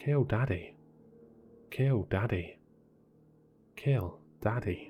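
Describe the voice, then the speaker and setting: A man growls through a put-on character voice at a very slow pace, his pitch medium and his intonation lively. Music plays in the background. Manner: menacing.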